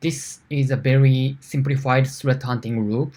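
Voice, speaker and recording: Somewhat breathy speech with a Japanese accent, monotone and flat, at a very slow pace on a very clean recording with a silent background. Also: man. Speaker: security engineer. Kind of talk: conference talk. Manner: halting.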